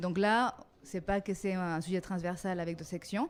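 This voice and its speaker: A woman with a non-native accent talks at a moderate pace in a medium pitch. Her intonation stays fairly even. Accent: foreign accent in French. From Mexico. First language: Spanish (speaking French). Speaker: design teacher and coordinator. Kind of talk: interview. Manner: hesitant, many fillers.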